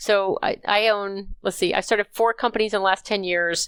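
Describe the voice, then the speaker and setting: A woman talks at a fairly quick pace in an ordinary speaking voice with fairly even intonation. The sound is dry and close with no echo, in a very clean recording with a silent background. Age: 60s. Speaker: healthcare consulting CEO. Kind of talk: podcast interview.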